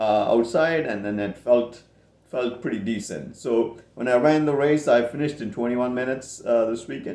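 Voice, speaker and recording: A man with a dark, mellow tone talks at a moderate pace with ordinary pitch variation. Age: 50s. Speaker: amateur runner vlogger. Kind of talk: casual monologue vlog. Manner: halting, many filler words.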